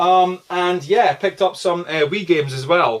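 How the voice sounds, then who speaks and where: Noticeable background noise sits beneath a man whose pitch varies in an ordinary way. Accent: Aberdeenshire. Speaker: video game collector YouTuber. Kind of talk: casual vlog. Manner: fast; casual, filler-heavy.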